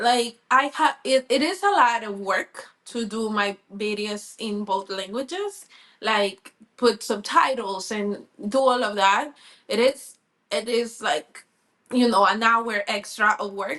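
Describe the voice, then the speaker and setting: A woman with a Spanish accent talks at a very slow pace, her fairly high voice showing ordinary pitch variation. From Colombia. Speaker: sports reporter. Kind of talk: interview.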